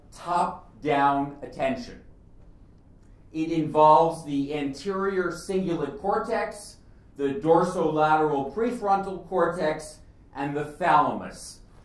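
Audible room echo surrounds a man speaking at a very slow pace. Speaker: speaker. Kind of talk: lecture. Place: hall.

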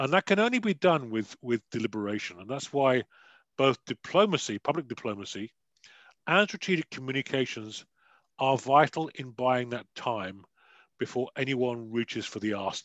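Lively intonation marks this British-accented delivery at a moderate pace, with a dry sound, no echo and a quiet background. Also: man, medium pitch for a man. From United Kingdom. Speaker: security advisor and author; guest lecturer. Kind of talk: panel discussion. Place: home room. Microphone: headset.

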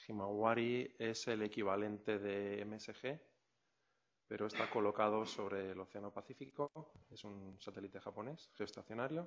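Ordinary pitch variation, big swings in loudness, a moderate pace, and light background noise. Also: man, fairly low pitch for a man. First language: Spanish. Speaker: meteorologist, event presenter. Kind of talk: formal introduction and Q&A moderation. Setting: conference room with audience. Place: hall. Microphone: podium.

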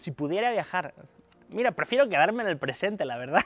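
A man's voice with lively intonation and a dry sound with no echo. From Asturias, northern Spain. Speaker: concert pianist. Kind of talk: interview. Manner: halting, many repetitions and fillers. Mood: relaxed, thoughtful, friendly. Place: stage.

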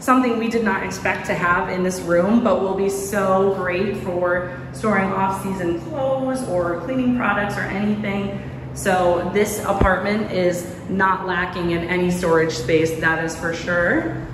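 A woman at a fairly slow pace with ordinary pitch variation, amid noticeable background noise and audible room echo. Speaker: apartment tour narrator. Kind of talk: casual vlog chat. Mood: excited, upbeat. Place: home room. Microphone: phone near.

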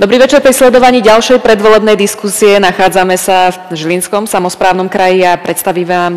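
Speaking at a fairly quick pace, she lets her pitch vary in an ordinary way. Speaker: debate moderator. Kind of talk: TV debate host introduction. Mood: calm, formal. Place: hall. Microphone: headset.

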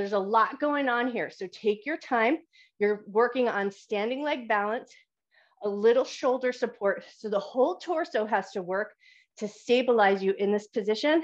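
A woman speaks at a moderate pace with ordinary pitch variation against a quiet background. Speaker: fitness instructor. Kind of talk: exercise class instruction. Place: home room. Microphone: video call.

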